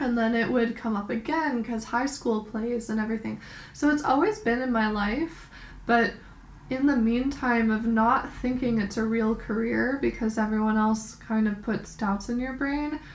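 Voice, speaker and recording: With an American accent, a woman speaks in a plain, everyday voice at a moderate pace. Her pitch is fairly high, and her intonation stays fairly even. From New York. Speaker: podcast co-host. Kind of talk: casual chat.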